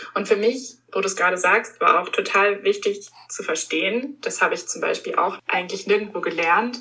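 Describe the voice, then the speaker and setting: A woman talks at a moderate pace. She leaves hardly any pauses. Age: 20s. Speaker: stress coach. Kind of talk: interview.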